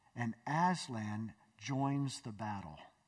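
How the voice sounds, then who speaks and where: A somewhat breathy man's voice over a quiet background. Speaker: pastor. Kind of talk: sermon. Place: church. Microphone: headset.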